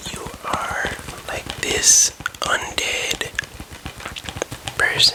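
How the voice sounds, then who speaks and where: Noticeable background noise fills the clip. Over it, a voice whispers. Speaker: ASMR creator. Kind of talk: ASMR roleplay as a game store employee. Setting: ASMR recording with tapping and controller sounds. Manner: explaining, slightly unsure and stumbling.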